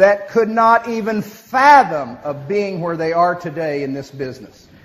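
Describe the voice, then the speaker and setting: A man's high-pitched voice in an American accent, with noticeable background noise. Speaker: motivational speaker, business leader. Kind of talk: speech to an audience with interpreter. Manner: fast.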